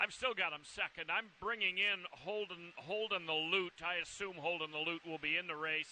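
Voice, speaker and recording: A man's loud shouting in a high pitch, at a moderate pace with ordinary pitch variation. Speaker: horse racing handicapper. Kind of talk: race preview analysis. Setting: outdoors at racetrack in rain. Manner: loud, near shouting.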